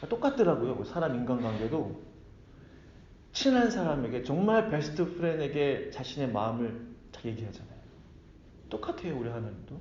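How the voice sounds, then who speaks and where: Room echo is audible as a fairly high-pitched man speaks at a moderate pace. His pitch swings very widely, his loudness shifts a lot, and he pauses long and often. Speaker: pastor. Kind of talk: sermon.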